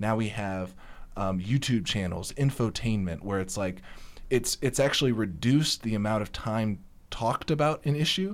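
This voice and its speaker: This man has an ordinary speaking voice, with an American accent, fairly low pitch, lively intonation, and a moderate pace on a very clean recording with a silent background. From rural conservative US area. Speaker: guest panelist. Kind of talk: casual panel discussion.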